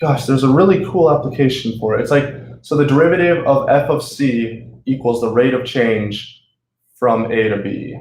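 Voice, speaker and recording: Audible room echo is present as a man with an American accent talks at a moderate pace. His voice is somewhat breathy, with a medium pitch and ordinary pitch variation. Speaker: student tutor. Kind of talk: tutorial. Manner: animated; casual.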